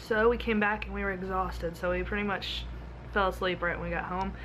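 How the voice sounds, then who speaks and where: A woman is heard over light background noise. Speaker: travel vlogger. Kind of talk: casual vlog chat. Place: home room. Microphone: phone near.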